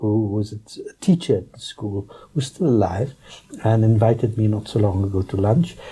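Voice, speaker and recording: Somewhat breathy and dark, mellow in tone, a man's medium-pitched voice moves at a moderate pace. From South Africa, Johannesburg. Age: 60s. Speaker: politician. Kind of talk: interview. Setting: studio. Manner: halting.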